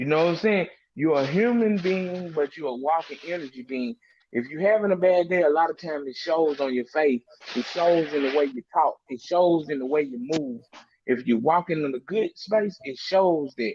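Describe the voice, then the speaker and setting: Speaking in a Memphis accent at a moderate pace, a man with a fairly high pitch and ordinary pitch variation is heard in a dry, close sound with no echo. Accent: Southern US (Memphis). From Mississippi and Memphis, Tennessee. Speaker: panel guest on a talk stream. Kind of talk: casual group discussion. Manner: animated, repeats words.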